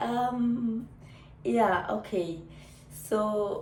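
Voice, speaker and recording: A woman speaks at medium pitch with very wide pitch swings. Audible room echo and noticeable background noise are present. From Namibia. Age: 30s. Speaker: YouTuber. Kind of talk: casual vlog chat.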